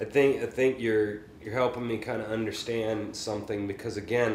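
A man with an American accent talks at a medium pitch while noticeable background noise continues. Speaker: podcast host and private music teacher. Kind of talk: casual chat.

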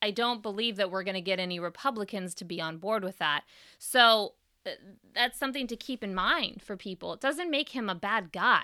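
A woman with a Californian accent talks at a fairly quick pace and medium pitch, her tone bright, sharp and animated. Her intonation is lively, and the recording is very clean with a silent background. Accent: General American (Californian). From US West Coast, San Francisco Bay Area. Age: 30s. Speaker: political podcast host. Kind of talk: solo commentary podcast.

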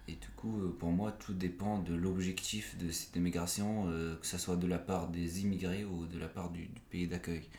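A man with a very deep, low pitch, fairly even intonation, a fairly slow pace, hardly any pauses and audible room echo. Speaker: author. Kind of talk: interview. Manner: halting.

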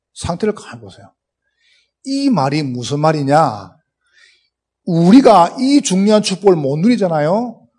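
A man with a strong Gyeongsang accent speaks fairly slowly in a high pitch and dark, mellow tone, with very wide pitch swings, big swings in loudness, and long, frequent pauses. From South Korea, Gyeongsang region. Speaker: pastor, guest preacher. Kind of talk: sermon. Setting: church. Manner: speeds up as sermon goes on.

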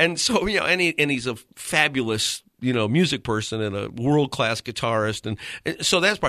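Over a quiet background, a man with an American accent talks at a moderate pace, his medium-pitched voice bright and sharp in tone with lively intonation. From Connecticut. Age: 50s. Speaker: pastor. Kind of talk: radio interview. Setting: radio studio. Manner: repeats words, false starts.

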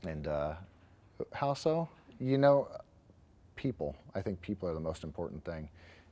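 A man with an American accent and a very deep, low pitch, in a dark, mellow tone at a moderate pace, with very wide pitch swings and long, frequent pauses. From Bakersfield, California. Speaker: business owner. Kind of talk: interview.

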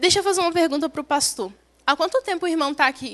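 Bright and sharp in tone, a woman's high voice moves with lively intonation in a dry, close sound with no echo. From Brazil, Espírito Santo countryside. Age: young. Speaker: young missionary. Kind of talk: testimony. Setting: church service.

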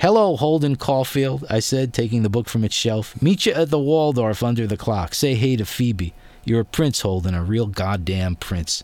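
On a very clean recording with a silent background, a man at medium pitch talks at a moderate pace with lively intonation and hardly any pauses. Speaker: radio host. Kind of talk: radio interview. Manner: enthusiastic, animated.

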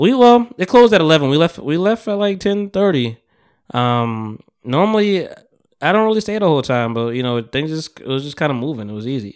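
A man talks at a fairly quick pace in an animated tone, his fairly high pitch making very wide swings. The recording is very clean, with a silent background. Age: 30s. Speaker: podcast host. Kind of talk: casual chat.

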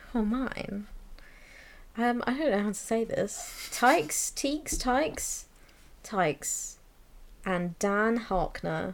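A woman's fairly high voice at a very slow pace, with very wide pitch swings and long, frequent pauses. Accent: southern English. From southern England, near Brighton. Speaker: podcast co-host. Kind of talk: casual chat. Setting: in person, together.

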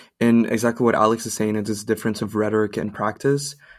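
The recording is very clean, with a silent background. A man speaks at a fairly quick pace. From Brazil. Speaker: podcast host, student. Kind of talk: interview hosting.

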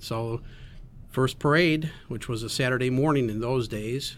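Delivered at a moderate pace, an ordinary speaking voice holds a fairly even intonation. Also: man. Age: 60s. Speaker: volunteer. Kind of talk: casual chat. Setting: studio.

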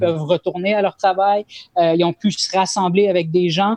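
A woman talks at a medium pitch with ordinary pitch variation. The sound is dry and close, with no echo. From Montreal, Quebec. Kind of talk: casual discussion. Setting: video call. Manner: halting, repeats words.

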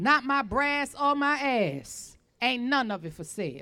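A woman's raised, projected voice, high-pitched with a bright, sharp tone, at a fairly slow pace. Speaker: poet and community speaker. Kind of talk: spoken word poetry and speech.

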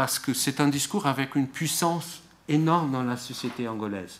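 The recording is very clean, with a silent background. A man speaks at medium pitch with ordinary pitch variation. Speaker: political scientist. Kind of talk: academic talk. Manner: slow, searching for words.

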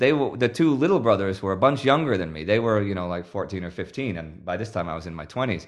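Over a quiet background, a man with an American accent and a normal speaking voice talks at a fairly low pitch with lively intonation. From Texas, Houston. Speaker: gamer. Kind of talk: interview.

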